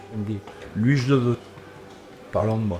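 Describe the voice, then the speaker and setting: Audible room echo, with music in the background. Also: man. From Normandy, France. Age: 60s. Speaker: former footballer. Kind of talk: interview. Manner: halting.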